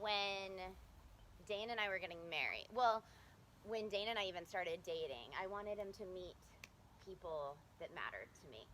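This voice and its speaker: At a moderate pace with long, frequent pauses, a woman speaks in a bright, sharp tone at medium pitch, with ordinary pitch variation. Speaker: daughter of the deceased giving a eulogy. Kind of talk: eulogy. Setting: memorial service. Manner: soft-spoken; halting.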